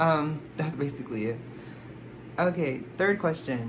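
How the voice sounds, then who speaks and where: A woman's very deep, low voice with an American accent at a moderate pace, amid noticeable background noise and audible room echo. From Texas, Houston. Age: 20s. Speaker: K-pop collector YouTuber. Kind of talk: casual Q&A vlog. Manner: rambling, filler-heavy. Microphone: no microphone, camera audio.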